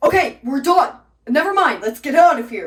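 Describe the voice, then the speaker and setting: Someone uses a put-on character voice with a high pitch, speaking at a moderate pace. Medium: stage play. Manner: terse, edgy.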